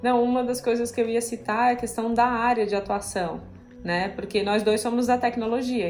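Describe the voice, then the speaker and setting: A woman speaks at a moderate pace with a fairly high pitch. Room echo is audible in the recording. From southern Brazil. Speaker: software developer. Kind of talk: casual interview.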